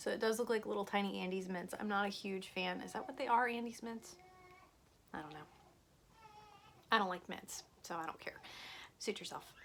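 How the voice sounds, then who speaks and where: A woman at a fairly quick pace with long, frequent pauses, a medium pitch and ordinary pitch variation. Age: 30s. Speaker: food reviewer. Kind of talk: casual snack review vlog. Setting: at home, son's room. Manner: casual, chatty.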